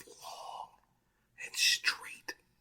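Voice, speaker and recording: A man is whispering. His tone is relaxed. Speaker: ASMR creator. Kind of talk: ASMR whisper and soft talk for relaxation. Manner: soft-spoken, relaxed.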